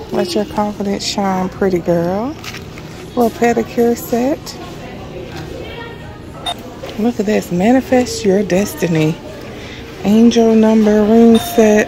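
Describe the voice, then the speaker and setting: A woman speaks at a very slow pace with long, frequent pauses and ordinary pitch variation, in a dry sound with no echo and noticeable background noise. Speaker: shopping vlogger. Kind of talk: casual vlog chat. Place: shop. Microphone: phone near.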